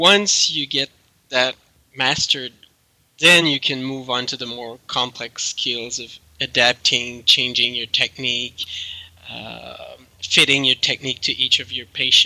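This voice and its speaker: A man with a French Canadian accent at a medium pitch, fairly slow and fairly even in intonation, with big swings in loudness and a dry, close sound with no echo. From Quebec. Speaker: chiropractic researcher and professor. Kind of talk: interview answers.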